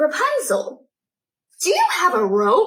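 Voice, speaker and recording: A woman shouts at a fairly slow pace in a put-on character voice. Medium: read story. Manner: shouting upward, earnest.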